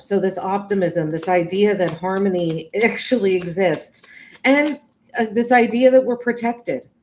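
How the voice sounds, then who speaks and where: A woman speaks with an American accent at a moderate pace. Her pitch is medium, with ordinary variation. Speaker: tarot reader. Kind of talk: live tarot reading. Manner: halting, with fillers and restarts.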